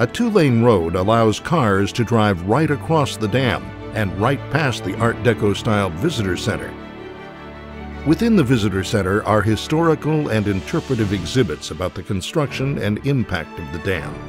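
Over music in the background, a man talks at a moderate pace. His pitch is fairly low and his intonation lively. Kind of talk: documentary narration.

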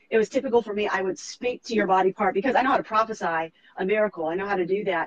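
A woman at medium pitch speaks at a very fast pace in an animated, passionate tone with ordinary pitch variation. Noticeable background noise sits under a dry, close sound with no echo. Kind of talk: faith interview ending in prayer.

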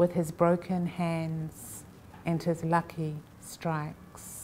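Light background noise sits behind a woman's voice. Her tone is dark and mellow, her pitch fairly low. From New Zealand (Samoan heritage). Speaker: poet. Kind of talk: poetry reading at a festival. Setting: library reading, live event. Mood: calm, measured narration. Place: hall.

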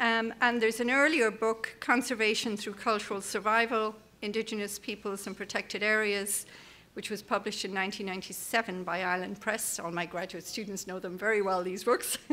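Intonation is fairly even throughout. A bright, sharp tone carries it. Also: woman, moderate pace. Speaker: conference host introducing the keynote speaker. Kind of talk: speaker introduction. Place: hall. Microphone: podium.

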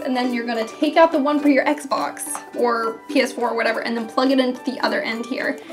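Clear music plays behind a woman who speaks at a moderate pace in a high voice with ordinary pitch variation. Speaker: gaming YouTuber. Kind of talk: tutorial explanation. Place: home room.

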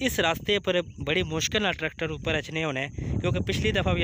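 Loud noise fills the background as a man talks. The recording is dry, without any echo. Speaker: vlogger. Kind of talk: casual vlog chat. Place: waterside. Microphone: phone near.

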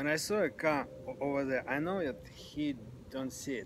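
With a dry sound and no echo, a man speaks at a moderate pace over noticeable background noise. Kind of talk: casual storytelling conversation. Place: garden.

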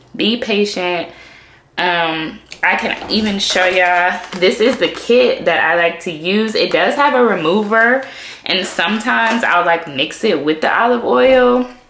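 A woman speaks at a fairly slow pace. Room echo and light background noise can be heard. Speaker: beauty vlogger. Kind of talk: casual vlog chat. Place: bathroom. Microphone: phone near.

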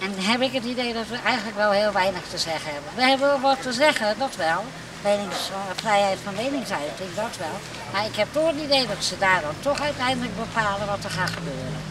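Her pace is fairly quick. The woman's voice sounds dry with no echo, though background noise is noticeable. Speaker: local resident. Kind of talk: vox pop street interview. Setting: outdoors on the street. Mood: resigned, mildly skeptical. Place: street.

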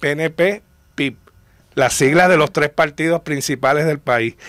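A man speaks at a fairly slow pace with ordinary pitch variation, in a plain, everyday voice. The background is quiet. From Puerto Rico. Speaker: popular culture historian. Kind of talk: casual chat. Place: studio.

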